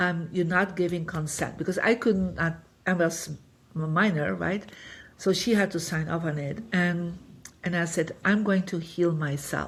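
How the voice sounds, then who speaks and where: Here a woman speaks at a moderate pace with fairly even intonation. Her voice is somewhat breathy and fairly low in pitch. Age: 60s. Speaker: feng shui master and spiritual teacher. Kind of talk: podcast interview, personal story. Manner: conversational with many fillers.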